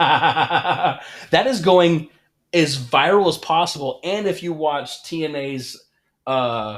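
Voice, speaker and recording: Speaking at a very slow pace, a man with a fairly high pitch uses lively intonation. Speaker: wrestling podcast co-host. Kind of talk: casual chat. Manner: loud.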